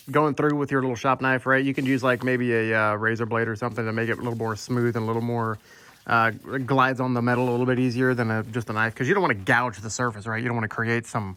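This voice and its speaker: A man's bright, sharp voice at a very fast pace. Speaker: woodworking YouTuber. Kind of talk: tutorial. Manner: casual, animated.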